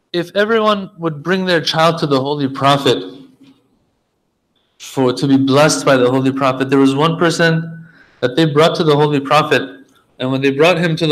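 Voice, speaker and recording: There is audible room echo as a man talks at a moderate pace. His pitch is fairly high, with ordinary variation. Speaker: religious speaker. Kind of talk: sermon.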